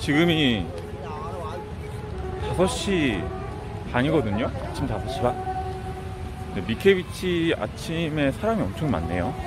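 Against noticeable background noise but with a dry sound and no echo, a man speaks at a very slow pace with long, frequent pauses. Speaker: travel vlogger. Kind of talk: casual vlog chat. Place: beach. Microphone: phone near.

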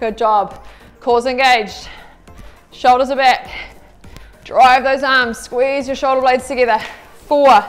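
A woman at a fairly slow pace, high in pitch, with ordinary pitch variation, long, frequent pauses, and faint music in the background. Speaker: fitness instructor. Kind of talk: workout coaching cues. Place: studio.

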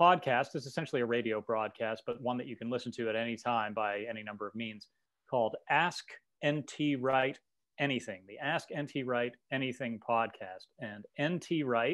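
At a moderate pace, a man speaks in a medium pitch with a fairly bright tone and ordinary pitch variation.

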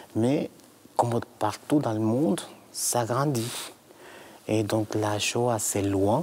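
At a very slow pace, a man with a Latin American Spanish accent speaks with fairly even intonation. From Guatemala. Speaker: director of a Holocaust memory association; guest. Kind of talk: interview. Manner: halting, repeats words. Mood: serious, measured. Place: church. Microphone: lapel.

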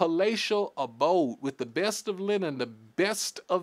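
The intonation is lively. The delivery is plain reading aloud.

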